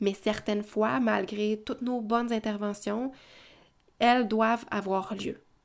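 In a Quebec accent, a woman speaks very slowly at a fairly high pitch with fairly even intonation, on a very clean recording with a silent background. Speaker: parenting educator podcaster. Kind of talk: solo podcast monologue. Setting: at home with children in background.

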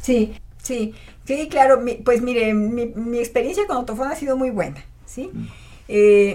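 Against noticeable background noise, a woman talks at a very slow pace in a high pitch with ordinary pitch variation. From Mexico, Matehuala, San Luis Potosí. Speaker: otolaryngologist. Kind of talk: interview.

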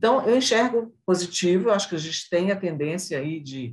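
A woman's somewhat breathy voice with lively intonation at a moderate pace. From Brazil, northern Minas Gerais. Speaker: civil engineer and construction industry association president. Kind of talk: interview.

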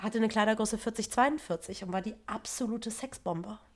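A woman speaks at a fairly slow pace and a medium pitch, with ordinary pitch variation. Hers is a plain, everyday voice. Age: 30s. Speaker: yoga and meditation teacher. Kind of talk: casual chat.

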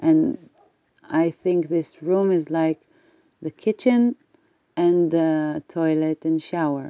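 In an Israeli accent, the speaker talks at a very slow pace with long, frequent pauses, ordinary pitch variation and a dark, mellow tone, in a dry, close sound with no echo. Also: woman, fairly low pitch for a woman. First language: Hebrew. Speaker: spiritual teacher. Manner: halting.

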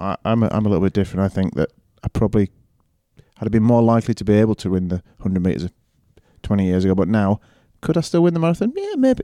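Talking very fast with lively intonation yet long, frequent pauses, a man with a Yorkshire accent has a fairly low pitch and a dark, mellow tone, recorded very cleanly against a silent background with a dry, close sound and no echo. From Yorkshire, northern England. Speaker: head of a prep school. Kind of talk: interview.

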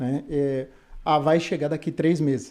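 This man's voice has a dark, mellow tone and a fairly high pitch. He talks at a moderate pace. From Brazil, São Paulo city. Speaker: carpenter. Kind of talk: interview.

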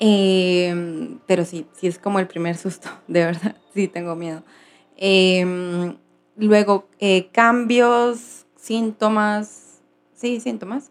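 At a very slow pace, a woman talks with medium pitch. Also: ordinary pitch variation. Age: 30s. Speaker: vlogger. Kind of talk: personal vlog.

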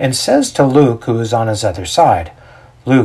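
Natural reading voice, nothing more

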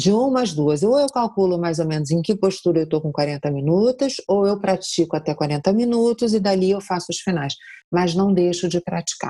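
Recorded very cleanly against a silent background, a woman speaks at a moderate pace and medium pitch, her tone dark and mellow and her intonation lively. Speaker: yoga teacher. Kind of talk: interview.

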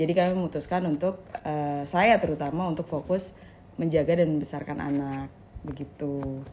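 A woman's very deep, low-pitched voice, fairly even in intonation, at a moderate pace. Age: 20s. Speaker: stay-at-home mother, former bank employee. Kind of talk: casual podcast interview.

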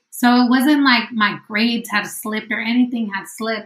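There is noticeable background noise in this clip. The woman speaking has an American accent. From San Diego–Tijuana border, California. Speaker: PhD student and mother. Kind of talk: interview.

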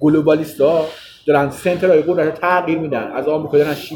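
At a very fast pace, a man speaks with fairly even intonation and a fairly high pitch. Noticeable background noise runs underneath. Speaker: political commentator. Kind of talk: heated debate.

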